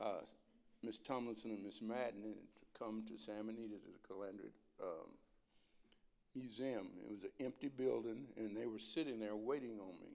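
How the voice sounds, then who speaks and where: Pausing long and often, a man with an American accent speaks at a moderate pace and medium pitch in a dark, mellow tone with fairly even intonation. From South Texas, Rio Grande Valley. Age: 80s+. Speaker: community elder. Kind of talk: public address. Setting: school board meeting.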